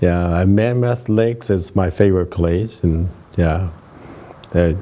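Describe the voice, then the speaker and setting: A man's very deep, low voice at a fairly slow pace, with fairly even intonation, very even loudness, long, frequent pauses, and noticeable background noise. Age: 80s+. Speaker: retired anesthesiologist and veteran runner. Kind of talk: interview. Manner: hesitant, many fillers.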